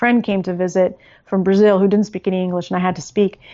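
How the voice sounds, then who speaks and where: A woman with an American accent speaks at a fairly quick pace and medium pitch in an unremarkable speaking voice. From California. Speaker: language learning author. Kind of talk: interview.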